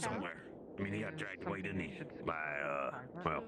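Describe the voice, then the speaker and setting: Using a put-on character voice, a man speaks at a fairly quick pace in a very deep, low pitch against loud background noise. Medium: game stream. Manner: rambling, joking.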